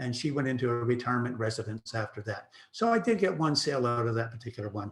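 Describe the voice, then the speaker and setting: A man talking very fast at a medium pitch, in a Canadian accent, with ordinary pitch variation. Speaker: real estate broker. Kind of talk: presentation.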